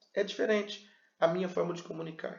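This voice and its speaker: An animated man at a fairly quick pace, with ordinary pitch variation and audible room echo. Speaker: pastor and communication teacher. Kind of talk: lecture. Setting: video recorded to camera. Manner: animated, varied pace and pitch.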